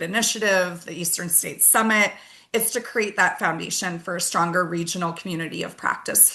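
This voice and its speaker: Bright and sharp in tone, a woman's voice moves at a fairly quick pace. Her pitch variation is ordinary. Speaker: webinar host. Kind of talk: webinar presentation. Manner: fast.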